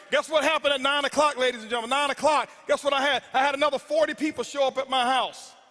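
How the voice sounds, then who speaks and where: A man's raised, projected voice, intense and animated, with crowd noise behind it. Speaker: network marketing speaker. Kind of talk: motivational speech. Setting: stage with audience. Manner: loud, intense.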